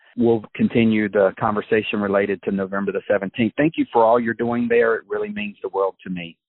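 Speaking at a fairly quick pace with hardly any pauses, a man has a normal speaking voice. His intonation is fairly even. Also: fairly low pitch for a man. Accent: American. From USA. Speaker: podcast host. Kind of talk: interview.

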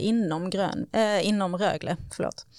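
A woman speaks at a fairly slow pace in a medium pitch, with ordinary pitch variation. Hers is an unremarkable speaking voice. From Sweden, Skåne (Höganäs). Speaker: sustainability manager at a sports club. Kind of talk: casual interview.

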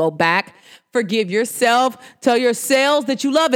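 With an animated tone, a woman speaks at a moderate pace. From New Jersey / New York, US. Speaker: podcast host. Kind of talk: casual solo talk show monologue. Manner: animated, conversational.

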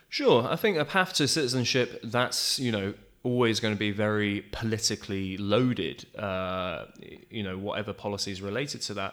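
With a British accent, a man speaks at a moderate pace in a fairly low voice with ordinary pitch variation, in a very clean recording with a silent background. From United Kingdom. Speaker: community organization co-founder. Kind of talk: interview. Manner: hesitant, many fillers.

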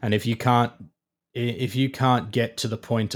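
Recorded very cleanly against a silent background, a man speaks with an Australian accent and fairly even intonation. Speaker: digital engineering manager at a contractor. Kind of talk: interview.

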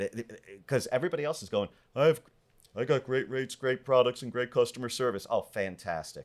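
A man with an American accent has a plain, everyday voice at a medium pitch. He talks at a fairly quick pace with ordinary pitch variation. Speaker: public speaker, mortgage professional. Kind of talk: casual interview chat.

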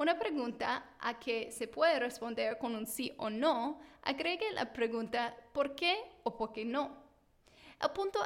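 At a very slow pace, a woman speaks in a high pitch with ordinary pitch variation. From United States. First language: English (speaking Spanish). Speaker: teacher and parenting podcast host. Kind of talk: scripted tutorial monologue.

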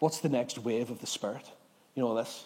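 With a Northern Irish accent, a man speaks at a fairly quick pace, his pitch varying an ordinary amount. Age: 30s. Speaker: pastor. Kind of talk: sermon. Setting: church.

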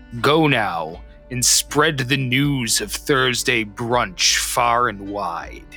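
A man speaks very slowly in a put-on character voice at a medium pitch, with music clearly audible in the background. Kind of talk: proclaiming. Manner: preachy, grandiose.

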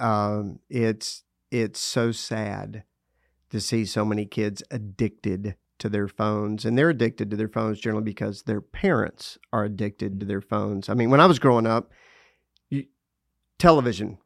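Recorded very clean, with a silent background and a dry, close sound with no echo, a man speaks in a West Texas accent with fairly even intonation. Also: fairly low pitch for a man, moderate pace. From US South, Lubbock, Texas. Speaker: parenting speaker. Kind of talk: casual interview.

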